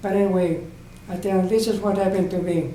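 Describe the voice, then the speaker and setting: The room echo is audible around this man's voice. He has a high pitch and keeps a moderate pace. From Southern California. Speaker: oral history interviewee. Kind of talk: oral history interview. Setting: library room. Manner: halting, repetitive.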